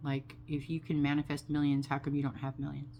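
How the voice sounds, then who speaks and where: This woman speaks with vocal fry and a monotone, flat intonation. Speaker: vlogger sharing personal story. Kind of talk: personal testimony monologue. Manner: slow.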